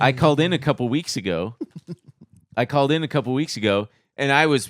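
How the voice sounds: An ordinary speaking voice from a man at medium pitch, fairly quick and with lively intonation, in a dry, close sound with no echo on a very clean recording with a silent background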